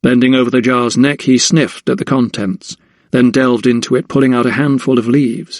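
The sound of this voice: The reading is delivered in an unforced reading voice.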